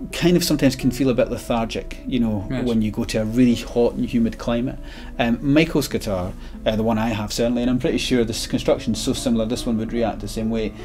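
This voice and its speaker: Faint music plays in the background as a man rattles along at a very fast pace with fairly even intonation. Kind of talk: interview conversation. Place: shop.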